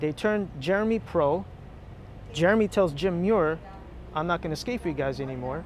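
A man's high voice with a New Jersey accent at a moderate pace, with ordinary pitch variation, long, frequent pauses, light background noise and a dry sound with no echo. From Union City, New Jersey. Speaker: former skateboarder; interviewee. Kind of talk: casual interview chat. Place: street. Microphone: lapel.

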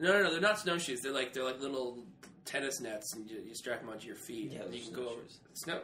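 Against noticeable background noise, a man at a medium pitch speaks very fast with lively intonation and big swings in loudness. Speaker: podcast co-host. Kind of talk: casual chat. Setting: studio.

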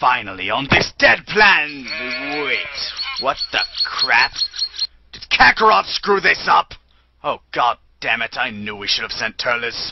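A man speaks fairly slowly at a medium pitch, with long, frequent pauses. His loudness shifts a lot, and his pitch swings very widely. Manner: condescending, whiny.

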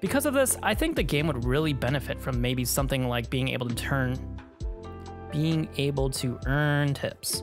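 The speech goes at a moderate pace. Behind it, music is playing. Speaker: game reviewer. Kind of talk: voice-over outtakes for a game review. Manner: stutters and stumbles, many retakes.

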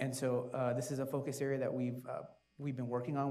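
Here a man talks at a fairly quick pace with a medium pitch. His tone is dark and mellow, and his intonation is monotone and flat. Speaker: city community services official; panelist. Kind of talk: panel discussion. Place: stage. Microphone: lapel.

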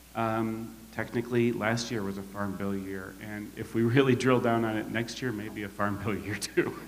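A moderate pace with fairly even intonation. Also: man. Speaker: panel moderator. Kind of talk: panel introduction speech. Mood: warm, lightly humorous. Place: hall. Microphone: handheld.

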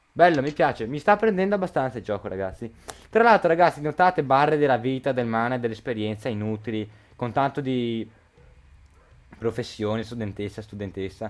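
Pausing long and often, a man of medium pitch speaks with lively intonation. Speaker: gaming youtuber. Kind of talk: let's play commentary. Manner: hurried; halting.

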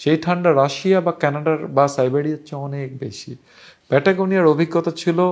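An ordinary speaking voice from a man, fairly high in pitch, with fairly even intonation and big swings in loudness. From Bangladesh. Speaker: travel storyteller. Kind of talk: travel storytelling monologue. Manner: casual, conversational.

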